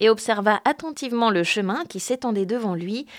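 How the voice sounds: The clip features a natural reading voice. Its pitch varies in an ordinary way.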